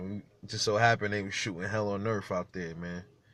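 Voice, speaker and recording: A man's bright, sharp voice at a fairly low pitch, fairly even in intonation, at a moderate pace, on a very clean recording with a silent background. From New York, Brooklyn. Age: 30s. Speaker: YouTuber. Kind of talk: casual vlog monologue.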